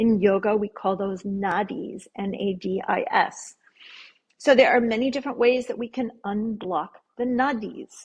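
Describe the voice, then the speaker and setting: The speaker is somewhat breathy, moving at a fairly slow pace with ordinary pitch variation. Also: woman, fairly high pitch for a woman. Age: 60s. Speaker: yoga therapist. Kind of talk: interview.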